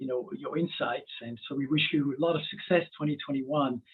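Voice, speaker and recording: A man speaks with a French accent. His fairly high voice keeps a fairly even intonation. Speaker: webinar host. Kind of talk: webinar interview. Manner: halting.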